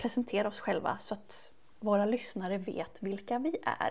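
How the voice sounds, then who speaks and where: A somewhat breathy, fairly high-pitched woman's voice. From Sweden, Västervik. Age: 30s. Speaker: beauty podcast co-host, beauty shop worker. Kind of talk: casual chat.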